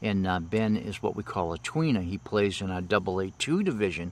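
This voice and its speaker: On a very clean recording with a silent background, a normal speaking voice moves at a moderate pace. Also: man. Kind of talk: live baseball play-by-play commentary. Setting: outdoors at a ballfield.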